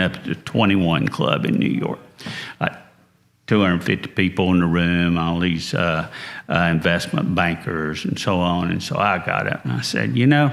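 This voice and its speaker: A man's very deep, low voice with a Southern US accent, over noticeable background noise. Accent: slow-talking Southern. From North Carolina, US South. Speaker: entrepreneur. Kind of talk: interview.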